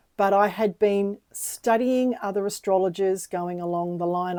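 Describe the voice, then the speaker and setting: A woman of medium pitch with a dark, mellow tone and ordinary pitch variation, on a very clean recording with a silent background. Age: 60s. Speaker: astrologer. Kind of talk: personal monologue to camera. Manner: conversational, with frequent fillers.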